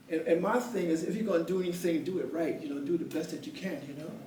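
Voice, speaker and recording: Animated and high-pitched, a man speaks with lively intonation. Noticeable background noise and audible room echo are present. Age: 70s. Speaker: poetry event host and retired teacher. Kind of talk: motivational talk to a small live audience. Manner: halting, many repeated words.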